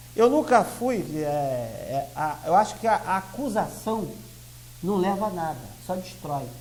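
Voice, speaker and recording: Very wide pitch swings from a high-voiced man at a fairly slow speed. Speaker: lawyer and party president. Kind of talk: TV interview.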